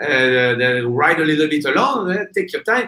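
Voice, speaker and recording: Bright and sharp in tone, a man speaks at a moderate pace in a fairly high pitch with lively intonation. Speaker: kiteboarding instructor examiner. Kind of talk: casual interview. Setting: live video stream. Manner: halting, many fillers.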